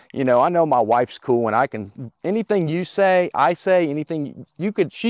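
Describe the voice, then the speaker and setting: A man speaks with very wide pitch swings in a dry, close sound with no echo. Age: 30s. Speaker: caller. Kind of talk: call-in conversation. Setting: phone call.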